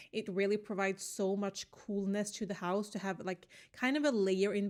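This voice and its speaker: In a Swedish accent, a woman speaks with a relaxed tone at medium pitch and a moderate pace. Her intonation is monotone and flat, on a very clean recording over a silent background. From Sweden. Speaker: gaming YouTuber, Sims builder. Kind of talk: casual voice-over commentary on a build. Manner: relaxed, many fillers.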